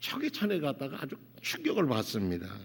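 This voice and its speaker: A man at a moderate pace with a fairly high pitch, very clean recording and silent background. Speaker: pastor. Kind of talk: sermon. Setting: church. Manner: halting, with self-corrections.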